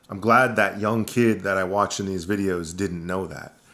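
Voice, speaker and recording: In a very clean recording with a silent background, a man with an American accent talks in a fairly low pitch, his tone bright and sharp and his intonation fairly even. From Maine, USA. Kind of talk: casual talk to camera.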